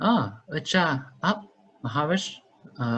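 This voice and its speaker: The man's fairly high voice swings very widely in pitch. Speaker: university student interviewer. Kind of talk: interview. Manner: halting, hesitant.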